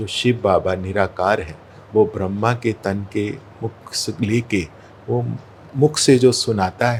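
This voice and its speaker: The voice is somewhat breathy. Its pitch varies in an ordinary way. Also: man, fairly low pitch for a man. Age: 60s. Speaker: spiritual practitioner. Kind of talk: interview.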